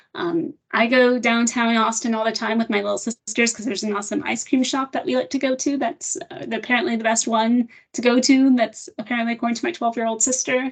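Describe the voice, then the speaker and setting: A woman talks at a very fast pace with a fairly high pitch and ordinary pitch variation. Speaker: software product trainer. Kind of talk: software demo webinar.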